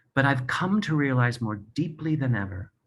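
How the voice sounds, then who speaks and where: His voice is somewhat breathy. The man has a medium pitch. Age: 60s. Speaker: Broadway performer and author. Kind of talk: personal testimony speech. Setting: video from his apartment.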